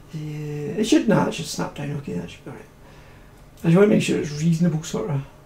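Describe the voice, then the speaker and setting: Over noticeable background noise, a man mumbles at a very fast pace in a fairly high voice, with lively intonation and big swings in loudness. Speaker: 3D modelling tutor streaming. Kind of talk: live-streamed software tutorial. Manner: mumbling; fast, hurried.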